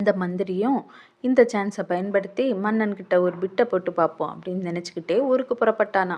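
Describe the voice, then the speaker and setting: Her voice rests at a medium pitch. The woman's pitch shifts in an ordinary way. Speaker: storyteller. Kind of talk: storytelling. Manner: casual, conversational.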